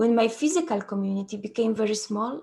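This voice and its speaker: Moderately paced speech from a woman, somewhat breathy, with a dark, mellow tone. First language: Polish. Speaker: trauma therapy facilitator. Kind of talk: conference talk. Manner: halting.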